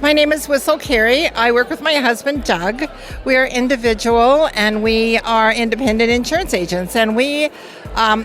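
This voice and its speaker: Music plays behind a woman speaking at a fairly quick pace, her pitch fairly high with ordinary variation. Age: 70s. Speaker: insurance agent. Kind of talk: interview.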